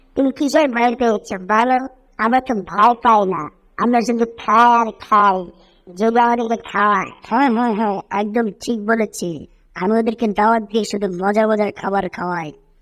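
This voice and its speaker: In a put-on character voice, a female-sounding speaker uses a fairly high pitch at a moderate pace, on a very clean recording with a silent background. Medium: fan dub. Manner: cheerful, playful.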